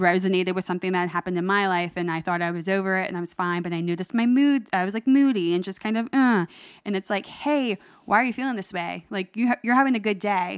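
A normal speaking voice moves at a fairly quick pace against a quiet background. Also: woman. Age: 30s. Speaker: guest sharing mental health story. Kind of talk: casual interview.

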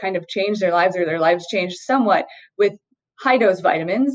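A woman with ordinary pitch variation. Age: 40s. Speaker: physician. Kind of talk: interview.

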